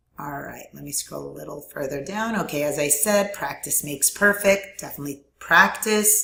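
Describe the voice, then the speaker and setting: At a moderate pace with hardly any pauses, a woman's very deep, low pitch carries lively intonation and big swings in loudness. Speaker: online course instructor. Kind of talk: tutorial. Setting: screen recording at computer. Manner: filler words, frequent um.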